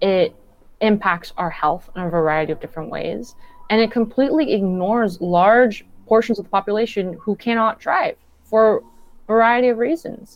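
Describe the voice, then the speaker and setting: With a Southern Californian accent, a woman speaks at a moderate pace in a fairly high pitch with ordinary pitch variation. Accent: Southern California American. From Southern California (Downey, southeast LA County). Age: 20s. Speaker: community organizer. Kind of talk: radio interview.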